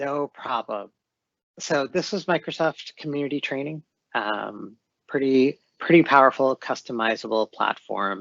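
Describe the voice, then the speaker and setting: At a fairly slow pace, a man talks in an unremarkable speaking voice, fairly high in pitch with ordinary pitch variation. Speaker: corporate training lead presenting. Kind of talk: webinar presentation.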